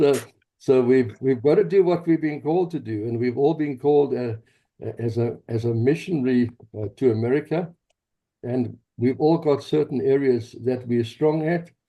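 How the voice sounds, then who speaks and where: At a medium pitch and a moderate pace, a man talks with ordinary pitch variation. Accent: South African. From South Africa, Johannesburg. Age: 70s. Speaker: pastor and activist. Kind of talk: interview, personal story.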